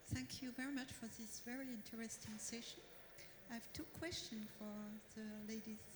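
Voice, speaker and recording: A woman with a French accent, fairly high pitch, fairly even intonation, moderate pace, long, frequent pauses, audible room echo and noticeable background noise. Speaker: audience member. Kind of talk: audience question. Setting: stage with audience. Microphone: too far from the mic.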